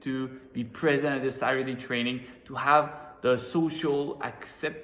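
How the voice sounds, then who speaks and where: Over noticeable background noise, a man holds a medium pitch in a monotone, flat intonation. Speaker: network marketing team leader. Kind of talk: motivational training talk. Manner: halting with repetitions.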